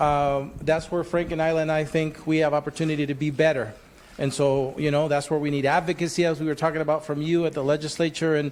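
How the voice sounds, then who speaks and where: A man with a Spanish accent, fairly high-pitched, very fast, monotone and flat in intonation. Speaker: workforce development agency leader. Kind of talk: facilitated panel discussion.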